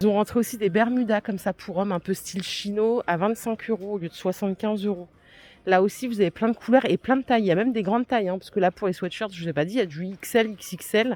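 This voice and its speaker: This woman's medium-pitched voice races along at a very fast pace. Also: ordinary pitch variation. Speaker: shopping vlogger. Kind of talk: in-store product haul video. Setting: inside a discount store. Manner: casual, with frequent fillers.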